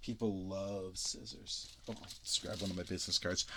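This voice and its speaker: A man keeps a moderate pace as noticeable background noise plays behind him. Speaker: YouTuber demonstrating DIY microphone. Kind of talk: casual demo video. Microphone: binaural microphone rig, very close to ear.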